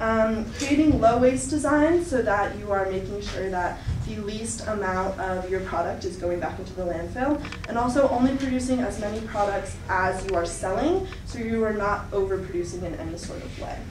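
A woman talks at a moderate pace with hardly any pauses over noticeable background noise. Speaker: presenter. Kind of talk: presentation talk. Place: classroom. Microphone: camera far.

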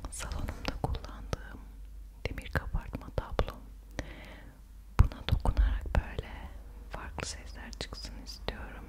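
Whispering in a gentle tone, a woman speaks at a very slow pace. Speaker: ASMR creator. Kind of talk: ASMR talk to camera. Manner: soft, gentle. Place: home room.

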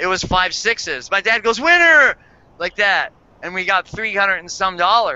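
With a high pitch and lively intonation, a man speaks at a moderate pace in a dry sound with no echo. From Hawaii. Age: 50s. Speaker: surfer and panel guest; guest. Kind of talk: casual chat. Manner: halting, many fillers. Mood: animated, humorous storytelling. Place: home room. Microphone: headset.

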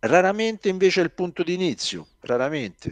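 Little sits behind the voice, as the background is quiet. A man does the talking. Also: dry sound with no echo. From Rome, Italy; Italy. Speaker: science fiction author; interviewee. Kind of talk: interview. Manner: halting, many repetitions. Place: home room. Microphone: headset.

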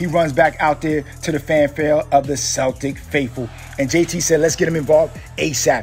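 The voice is energetic and excited, at a moderate pace. Music plays in the background. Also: man. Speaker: sports voiceover artist / aspiring sports host. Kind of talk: sports play-by-play voiceover audition. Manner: energetic, hyped, excited.

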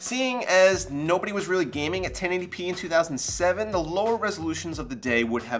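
A man at a moderate pace over faint background music. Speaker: tech video host. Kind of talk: tech review narration. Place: office.

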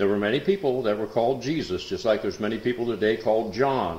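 A man speaks with ordinary pitch variation in audible room echo. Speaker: Bible class teacher. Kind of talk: lecture. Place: classroom. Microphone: old recording.

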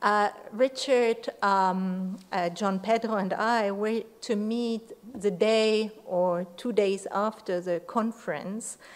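A woman talks at a very slow pace in a medium pitch. Her intonation stays fairly even. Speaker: university professor. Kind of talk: memorial tribute. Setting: memorial event with audience. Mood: warm, reflective remembrance. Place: classroom. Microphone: podium.

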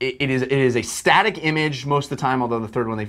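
In a quiet background, a man talks at a fairly quick pace. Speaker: film review show host. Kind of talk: commentary. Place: studio. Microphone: lapel.

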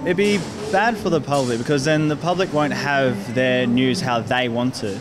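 Noticeable background noise under a man speaking with ordinary pitch variation. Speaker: interviewee. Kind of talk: interview answer. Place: street. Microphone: handheld.

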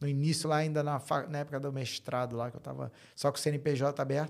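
The recording is very clean, with a silent background. A man talks in an ordinary speaking voice at a fairly high pitch. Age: 40s. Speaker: fintech co-founder and tech executive. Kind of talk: interview, casual chat. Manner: casual, frequent fillers and repetitions.

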